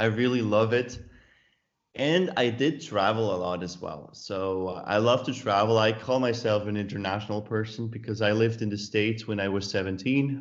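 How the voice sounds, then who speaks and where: With audible room echo, a man in a Swiss German accent talks at a moderate pace, with medium pitch and ordinary pitch variation. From Switzerland, Zurich area. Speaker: author. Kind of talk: interview. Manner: halting, with self-corrections.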